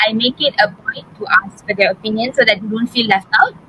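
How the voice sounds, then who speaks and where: A woman speaks with a Tamil accent and a fairly high pitch. Her pitch variation is ordinary, and there is noticeable background noise. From Malaysia. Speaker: pharmacy student. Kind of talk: interview. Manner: hesitant, many fillers.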